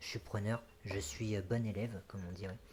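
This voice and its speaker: Soft-spoken and somewhat breathy, a man talks at a moderate pace in a fairly low pitch with fairly even intonation. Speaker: gaming youtuber. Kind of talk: let's play commentary. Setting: home recording, late at night. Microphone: echoey apartment, bumped the mic.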